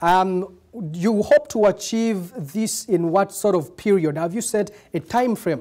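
The pace is fairly slow. The background stays quiet. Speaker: TV news presenter. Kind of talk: news interview. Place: studio.

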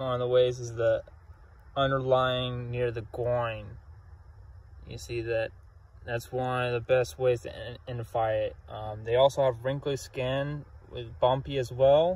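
A man speaks at a fairly slow pace with fairly even intonation and long, frequent pauses. The sound is dry with no echo, and his voice is somewhat breathy. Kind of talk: field nature commentary. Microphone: phone near.

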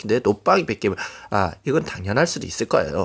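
A voice with vocal fry moves along at a fairly quick pace. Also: man. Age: 20s. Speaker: gaming streamer. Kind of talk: casual vlog talk. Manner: halting.

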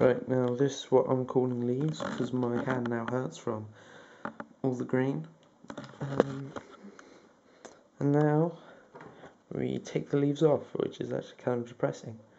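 The speech runs at a fairly slow pace with long, frequent pauses, over noticeable background noise. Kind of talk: casual vlog chat. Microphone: phone near.

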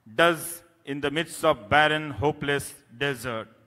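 A bright, sharp tone at a very slow pace over a quiet background. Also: man. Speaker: award lecturer, journalist. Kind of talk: lecture. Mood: serious, earnest. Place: hall. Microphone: podium.

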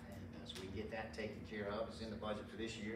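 The delivery is very fast and monotone, with flat intonation, audible room echo and noticeable background noise. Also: man. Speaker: pastor. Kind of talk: church announcements. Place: church. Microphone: camera far.

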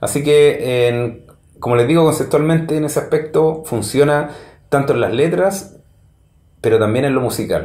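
A man with a Chilean accent speaks in a dark, mellow, somewhat breathy tone with ordinary pitch variation and audible room echo. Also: moderate pace. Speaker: music reviewer. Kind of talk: solo review monologue; casual commentary, album review. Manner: halting, many fillers. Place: home room.

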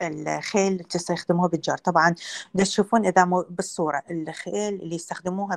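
Fairly even intonation with an Iraqi accent at a moderate pace, over a quiet background. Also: woman. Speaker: veterinary lecturer. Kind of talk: lecture. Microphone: video call.

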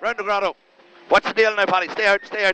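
Light background noise is present as a man speaks. The sound is dry, with no echo. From Ireland. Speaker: rally co-driver. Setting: inside a rally car during a stage. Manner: excitable, encouraging bursts between calls. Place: car. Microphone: headset.

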